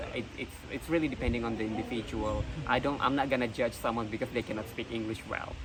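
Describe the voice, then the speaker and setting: Speaking very fast with fairly even intonation, a man with a medium-pitched voice is heard over noticeable background noise. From Indonesia. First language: not English. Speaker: pageant contestant. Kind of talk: interview. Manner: hesitant, frequent fillers.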